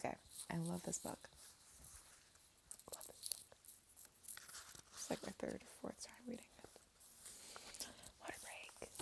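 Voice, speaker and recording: Someone whispers at a moderate pace, leaving long, frequent pauses, over noticeable background noise. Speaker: ASMR channel host. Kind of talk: soft-spoken ASMR book reading. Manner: soft-spoken.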